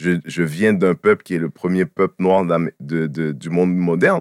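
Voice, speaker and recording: A man with a very deep, low voice speaks at a fairly slow pace, the sound dry and close with no echo. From Quebec, Haitian family. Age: 40s. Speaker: comedian. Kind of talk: casual chat.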